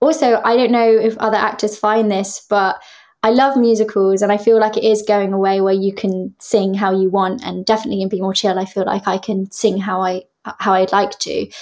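A woman with a southern English accent and medium pitch, at a fairly quick pace with fairly even intonation, on a very clean recording with a silent background. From Devon, southwest England. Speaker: musical theatre actress. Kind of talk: interview.

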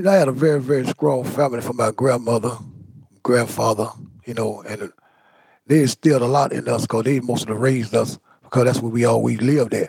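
A man's medium-pitched voice with vocal fry, fairly quick in pace, with ordinary pitch variation. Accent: American. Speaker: exonerated former prisoner. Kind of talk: interview.

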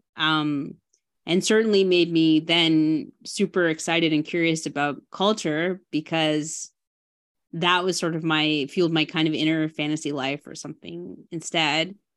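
A woman's very deep, low voice with a Canadian accent, fairly even intonation and a fairly slow pace against a quiet background. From Ontario, Canada (Burlington). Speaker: film director. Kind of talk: interview.

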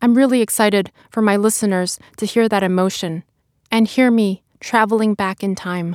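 A woman with a New York accent speaks at a moderate pace and a medium pitch, with fairly even intonation. The sound is dry and close with no echo, on a very clean recording with a silent background. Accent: American (New York). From China, raised in Brooklyn, New York. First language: Chinese. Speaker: lawyer and author. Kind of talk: interview monologue about narrating audiobook; reading aloud from memoir. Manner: slurs syllables in heat of moment.

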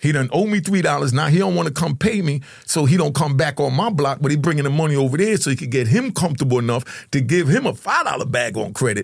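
Here a man talks at a very fast pace in an animated tone. His intonation is lively. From Jamaica, raised in New York. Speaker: former drug kingpin and ex-prisoner. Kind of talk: casual interview. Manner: animated storyteller.

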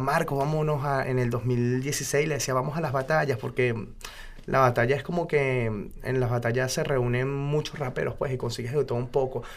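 A man talks at a moderate pace in an ordinary speaking voice. His pitch sits at medium, with fairly even intonation. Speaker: freestyle rapper. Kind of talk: interview.

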